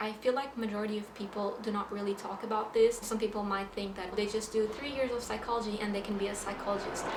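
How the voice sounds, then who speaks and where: Noticeable background noise and audible room echo accompany a woman with a Portuguese accent. She talks at a very fast pace with a fairly high pitch and monotone, flat intonation. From Portugal. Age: 20s. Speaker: psychology student, vlogger. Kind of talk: explainer vlog.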